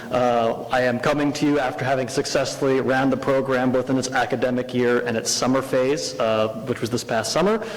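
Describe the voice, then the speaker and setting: Fairly quick speech with hardly any pauses and very even loudness, plus audible room echo and noticeable background noise. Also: man, medium pitch for a man. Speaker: educational program director. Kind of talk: presentation to a school board. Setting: school board meeting. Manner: filler-heavy, hesitant.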